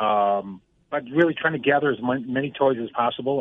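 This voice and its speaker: At a moderate pace, a man with an American accent talks in an unremarkable speaking voice with ordinary pitch variation. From Buffalo, New York. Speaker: police officer. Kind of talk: radio interview.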